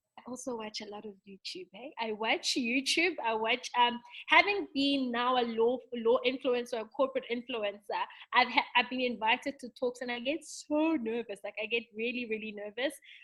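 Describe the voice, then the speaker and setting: Her loudness swinging widely, a woman talks at a moderate pace with a high pitch and a bright, sharp tone. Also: ordinary pitch variation. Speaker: lawyer and corporate influencer. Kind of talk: interview.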